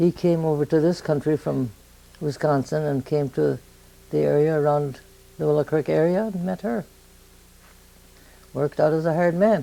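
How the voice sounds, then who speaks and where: A woman speaks at a moderate pace in a very deep, low voice with ordinary pitch variation. Her pauses are long and frequent. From southern Minnesota. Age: 90s. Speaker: elderly interviewee. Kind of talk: oral history interview.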